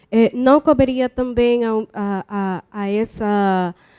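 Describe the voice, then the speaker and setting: In a non-native accent, a woman with a fairly high pitch and a dark, mellow tone keeps a fairly even intonation, heard in a dry, close sound with no echo. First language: not Portuguese (speaking Portuguese). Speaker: doctoral student. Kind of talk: Q&A question at a conference panel. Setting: conference panel with audience.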